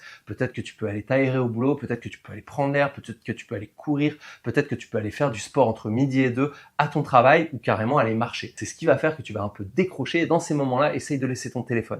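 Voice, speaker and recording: At a very fast pace, a man speaks at medium pitch with ordinary pitch variation and big swings in loudness. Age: 40s. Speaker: weight loss coach. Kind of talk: tutorial. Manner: casual.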